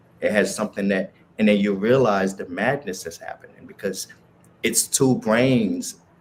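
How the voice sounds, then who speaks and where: A man with a Haitian accent. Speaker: spiritual speaker. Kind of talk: casual chat.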